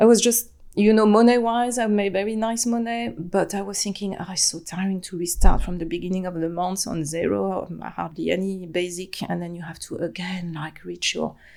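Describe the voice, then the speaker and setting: Recorded very cleanly against a silent background, a woman with a French accent and a dark, mellow tone speaks at a medium pitch and moderate pace, with ordinary pitch variation and big swings in loudness. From France, Atlantic coast. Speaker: human design practitioner, former compliance professional. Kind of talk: podcast interview. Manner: halting, many fillers.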